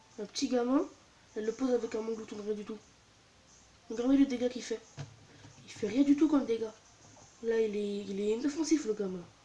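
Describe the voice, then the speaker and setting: A woman speaks at a fairly high pitch and a fairly quick pace, with ordinary pitch variation. Long, frequent pauses break her speech, and background noise is noticeable. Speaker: gaming youtuber. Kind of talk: let's play commentary. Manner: soft-spoken.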